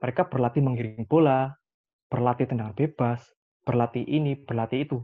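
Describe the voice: A man at medium pitch, moderate pace and ordinary pitch variation.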